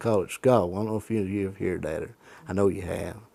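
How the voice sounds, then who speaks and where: A man with an Appalachian accent speaks at a moderate pace in a dark, mellow tone with fairly even intonation. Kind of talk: interview answer.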